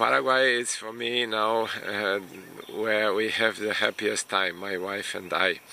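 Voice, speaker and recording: A man speaks at a fairly slow pace with a Romanian accent. Noticeable background noise sits behind him. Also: fairly low pitch for a man, ordinary pitch variation. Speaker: immigration consultant and vlogger. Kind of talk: casual vlog monologue. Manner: hesitant, many fillers.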